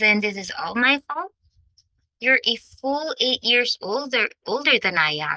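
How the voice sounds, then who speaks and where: Using a squeaky, put-on character voice, a woman speaks at a fairly slow pace and high pitch, with very wide pitch swings and long, frequent pauses. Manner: indignant.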